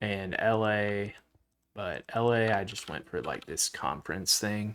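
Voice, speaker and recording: Someone with a Southern US accent speaks at a very slow pace with ordinary pitch variation, in a very clean recording with a silent background. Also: man. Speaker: Minecraft livestreamer. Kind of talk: casual chat. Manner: halting.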